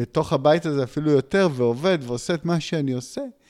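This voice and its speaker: A man speaks in a very clean recording where the background is silent. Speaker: podcast host. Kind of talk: casual chat. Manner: halting.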